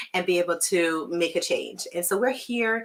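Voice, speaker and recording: With a Jamaican accent, a woman at medium pitch talks at a moderate pace, her tone bright and sharp and her intonation lively. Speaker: physician. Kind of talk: live webinar presentation. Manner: filler-heavy, conversational.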